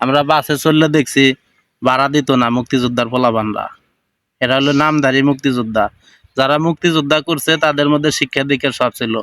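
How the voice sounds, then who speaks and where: A fairly high-pitched man's voice at very even loudness, in a dry, close sound with no echo. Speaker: commentary video maker. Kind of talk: reaction commentary. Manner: animated.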